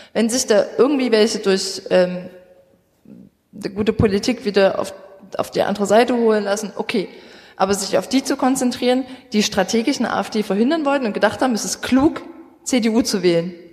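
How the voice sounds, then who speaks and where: A woman speaks at a fairly quick pace with a fairly high pitch and a somewhat breathy voice. Her pitch varies in an ordinary way, broken by long, frequent pauses. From Saxony, Vogtland. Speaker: youth party politician. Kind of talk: live panel discussion. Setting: stage with audience.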